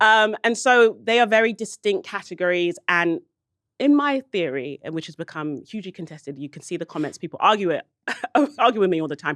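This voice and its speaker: Speaking in a London accent, a woman uses a medium pitch and lively intonation at a fairly quick pace, her loudness swinging widely. The sound is dry and close with no echo, against a quiet background. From South London (Brixton), England. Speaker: podcast host. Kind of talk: casual chat.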